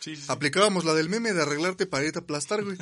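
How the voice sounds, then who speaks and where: The speaker is a man. His voice is fairly high in pitch. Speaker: podcast co-host. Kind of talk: casual chat.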